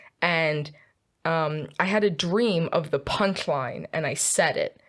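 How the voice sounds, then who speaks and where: Here a woman talks in a Philadelphia accent. Her pitch is fairly low and her pace very slow. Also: ordinary pitch variation. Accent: Philadelphia American. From US, Philadelphia. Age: 20s. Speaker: student guest. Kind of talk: casual chat.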